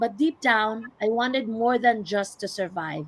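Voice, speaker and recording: The speaker has a strong Filipino accent. The delivery is fairly slow. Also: woman. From Philippines, Visayas. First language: Visayan. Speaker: healthcare worker and online business owner. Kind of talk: live stream panel talk.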